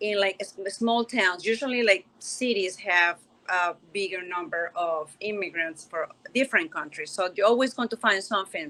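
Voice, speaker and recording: A woman with a Spanish accent uses a bright, sharp tone at a medium pitch, with ordinary pitch variation and a moderate pace. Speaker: panelist. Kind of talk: virtual panel discussion.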